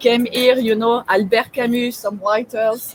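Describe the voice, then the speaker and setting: A woman with a strong French accent at a moderate pace and fairly high pitch, with noticeable background noise. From France. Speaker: webinar host. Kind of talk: casual interview chat. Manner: hesitant, many fillers.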